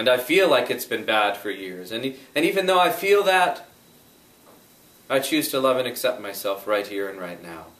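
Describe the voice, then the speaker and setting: A calm tone with very wide pitch swings, big swings in loudness and long, frequent pauses. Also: man, medium pitch for a man, moderate pace. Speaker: EFT tapping practitioner. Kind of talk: guided EFT tapping session. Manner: calm, guiding, instructional.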